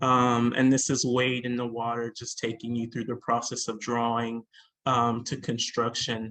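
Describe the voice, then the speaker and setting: At a fairly slow pace, a man with an American accent talks in a monotone, flat intonation. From Charleston, South Carolina. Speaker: artist. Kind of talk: panel presentation. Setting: video call.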